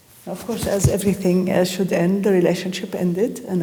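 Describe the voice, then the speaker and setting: A woman's medium-pitched voice in audible room echo. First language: Arabic. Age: 70s. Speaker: artist and poet. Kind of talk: interview. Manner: halting.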